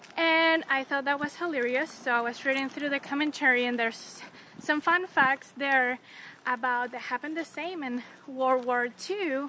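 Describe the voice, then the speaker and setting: Raised and projected, this woman's high voice has a bright, sharp tone and fairly even intonation. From Latin America, non-Mexican. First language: Spanish. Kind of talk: casual devotional chat.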